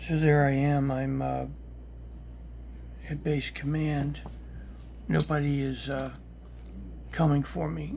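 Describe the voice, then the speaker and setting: A man whispers very slowly, with long, frequent pauses. Audible echo fills the room. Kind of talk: personal testimony. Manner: whispering; halting.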